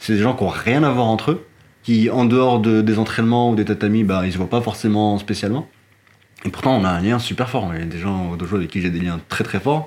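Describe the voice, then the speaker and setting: A fairly quick man with a fairly low pitch and ordinary pitch variation, noticeable background noise behind him. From Morocco. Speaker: martial arts practitioner. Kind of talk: casual chat.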